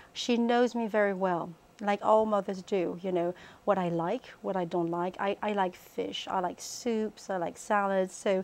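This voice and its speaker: Over a quiet background, a woman with a French accent speaks at a fairly slow pace, with medium pitch and fairly even intonation. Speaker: cookbook author. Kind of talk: interview. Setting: TV studio. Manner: halting, many fillers.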